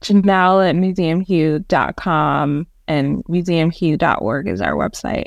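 A woman with a New York accent speaks at a fairly slow pace, her pitch fairly low and its variation ordinary. She barely pauses, and the background is quiet. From New York City, born in Jamaica. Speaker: museum nonprofit research manager. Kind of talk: podcast interview.

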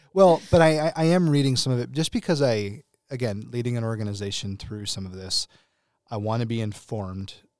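Over a silent background in a very clean recording, a man with an unremarkable speaking voice talks at a fairly quick pace and medium pitch with lively intonation. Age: 30s. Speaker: podcast host in young adult and college ministry. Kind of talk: casual chat.

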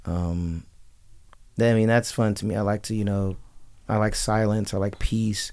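The speaker has an American accent and a monotone, flat intonation at a moderate pace, with long, frequent pauses. The recording is very clean with a silent background. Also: man, fairly low pitch for a man. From Las Vegas, Nevada. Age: 20s. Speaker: fashion designer and clothing business owner. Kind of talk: radio interview. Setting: radio studio.

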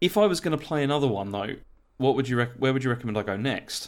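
A man's medium-pitched speech rushes along at a very fast pace. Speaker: gaming podcaster. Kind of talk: casual chat.

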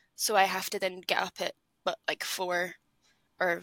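This woman has a medium pitch and a bright, sharp tone. She speaks at a moderate pace. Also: dry, close sound with no echo. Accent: Edinburgh. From Scotland, Edinburgh. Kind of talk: casual chat.

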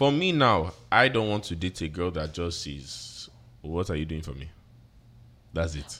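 A man with an American accent speaks in a very deep, low voice with lively intonation, big swings in loudness, and long, frequent pauses, on a very clean recording with a silent background. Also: moderate pace. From Atlanta, Georgia, US with Nigerian (Yoruba) family. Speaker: event specialist and content creator. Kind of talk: casual chat.

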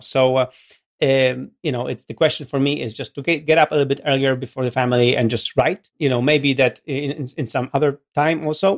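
With fairly even intonation, a man speaks at a medium pitch and a fairly quick pace. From Poland, Gdynia. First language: Polish. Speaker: company CEO, podcast co-host. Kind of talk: casual chat.

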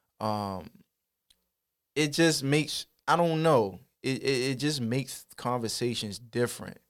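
Long, frequent pauses break up a man's fairly slow speech. His pitch is medium with ordinary variation. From Baltimore, Maryland (West Baltimore, Park Heights). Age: 30s. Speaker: rapper and content creator. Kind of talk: casual interview.

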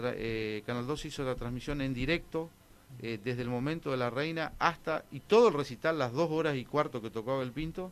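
Moving at a fairly quick pace, a man talks with ordinary variation in pitch. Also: medium pitch for a man. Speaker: festival organizer. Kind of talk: radio interview. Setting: radio studio. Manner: halting.

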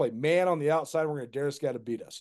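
A man with an ordinary speaking voice, fairly high in pitch, at a fairly quick pace. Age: 30s. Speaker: sports radio host and journalist. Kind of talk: casual chat.

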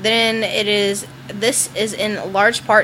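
A woman with a Southern US accent speaks at a medium pitch. Her intonation is lively, with noticeable background noise behind her. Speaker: podcast co-host. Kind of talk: reading ghost stories aloud.

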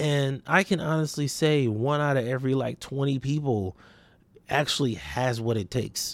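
Speaking with an American accent in a normal speaking voice, a man keeps a moderate pace, medium pitch, ordinary pitch variation and very even loudness. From US West Coast, Los Angeles area (Compton, Watts, Long Beach). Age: 30s. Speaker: podcast host and entrepreneur. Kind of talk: solo podcast monologue, casual reflection. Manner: casual, conversational.

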